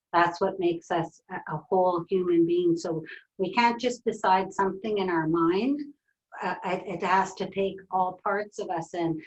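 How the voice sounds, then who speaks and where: A woman's ordinary speaking voice, medium in pitch, moderate in pace, with fairly even intonation. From northern British Columbia coast, Canada. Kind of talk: webinar conversation.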